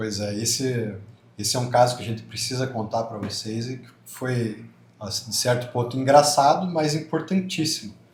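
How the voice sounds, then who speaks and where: Amid noticeable background noise and audible room echo, a man speaks at a moderate pace and medium pitch with ordinary pitch variation and big swings in loudness. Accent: southern Brazilian. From southern Brazil. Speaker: church couple guest. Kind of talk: podcast-style conversation.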